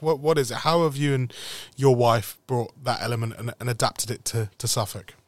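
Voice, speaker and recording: A man with a normal speaking voice at a medium pitch is heard in a dry, close sound with no echo, in a very clean recording with a silent background. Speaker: club podcast host. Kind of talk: casual interview chat.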